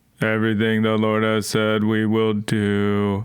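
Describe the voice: Using a robotic, put-on character voice, a man speaks at a fairly slow pace. His medium pitch stays in a monotone, flat intonation.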